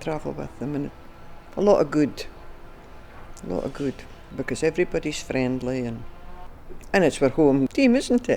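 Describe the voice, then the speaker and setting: Over music in the background, a woman with a Scottish accent speaks at a moderate pace with long, frequent pauses. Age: 80s+. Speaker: football fan. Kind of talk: documentary interview.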